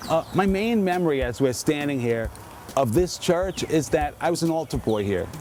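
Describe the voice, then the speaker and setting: A man with a New York accent, fairly high in pitch, lively in intonation, at a moderate pace, amid noticeable background noise. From New York, the Bronx. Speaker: author. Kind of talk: casual walking tour narration. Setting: outdoors. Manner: animated.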